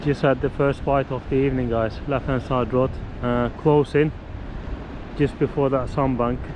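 A man speaks at a moderate pace and medium pitch with little pitch movement, clear background noise behind him.

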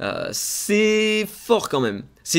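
A man speaks with ordinary pitch variation. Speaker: gaming YouTuber; gaming content creator. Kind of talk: game news video. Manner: hesitant, many fillers. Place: home room.

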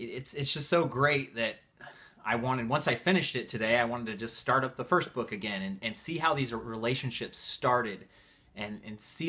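Bright and sharp in tone, a man speaks at a medium pitch with an enthusiastic tone. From Northern California. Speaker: book reviewer, video creator. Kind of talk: casual vlog chat. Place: home room.

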